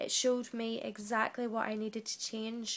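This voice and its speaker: A woman speaks with a fairly high pitch and a fairly slow pace. Her intonation is monotone and flat. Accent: British. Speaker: trainee teacher. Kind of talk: reflective monologue.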